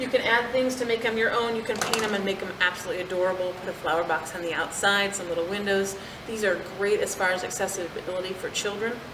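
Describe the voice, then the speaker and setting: A woman at a medium pitch talking very fast with hardly any pauses and fairly even intonation, amid noticeable background noise and audible room echo. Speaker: farmer. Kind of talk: tutorial.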